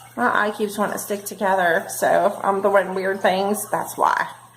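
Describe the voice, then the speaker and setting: A woman with an American accent, audible room echo and noticeable background noise. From northern Kentucky / Cincinnati area. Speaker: beauty vlogger. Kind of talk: makeup tutorial. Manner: animated.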